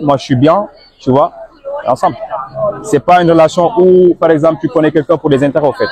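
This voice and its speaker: A man's high-pitched voice at a very fast pace, broken by long, frequent pauses, with very even loudness, a dry, close sound with no echo and noticeable background noise. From Senegal. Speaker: immigrant interviewee. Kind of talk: interview. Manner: casual.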